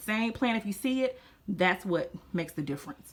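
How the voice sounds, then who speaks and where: A woman's animated tone with a Louisiana accent, in a very clean recording with a silent background. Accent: Southern US (Louisiana). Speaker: gardening youtuber. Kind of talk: casual tutorial.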